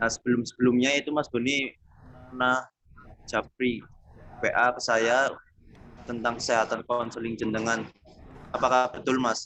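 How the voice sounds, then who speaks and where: Long, frequent pauses break up this man's speech. His medium-pitched voice stays monotone and flat. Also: moderate pace. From Tegal, Central Java, Indonesia. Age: 20s. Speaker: university student doing counseling practice. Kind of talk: counseling session with explanatory presentation.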